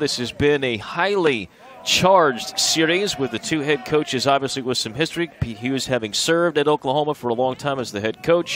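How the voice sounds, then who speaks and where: The sound is dry with no echo, and there is light background noise. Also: man. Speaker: play-by-play announcer. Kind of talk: sports commentary. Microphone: headset.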